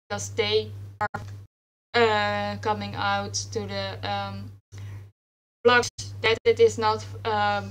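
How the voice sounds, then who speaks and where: A woman's very deep, low voice with a Dutch accent, very slow and monotone, broken by long, frequent pauses. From Netherlands. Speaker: writer, panel moderator. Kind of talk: panel discussion. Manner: halting, many fillers.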